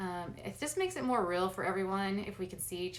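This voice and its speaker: Rather brisk female speech at a mid-range pitch, with echo from the room clearly audible. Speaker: essential oils business presenter. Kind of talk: video call business presentation. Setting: video call. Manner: fast.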